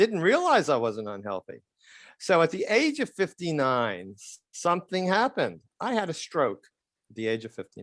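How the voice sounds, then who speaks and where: A man with an American accent speaks at a moderate pace in a high voice with very wide pitch swings, recorded dry and close with no echo against a quiet background. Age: 70s. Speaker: retired periodontist. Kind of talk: podcast interview.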